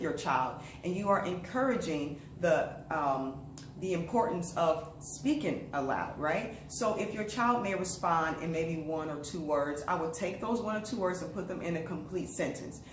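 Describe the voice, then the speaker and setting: A woman's fairly low voice with lively intonation, plus audible room echo and noticeable background noise. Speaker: early literacy educator. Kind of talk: tutorial. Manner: fast; casual.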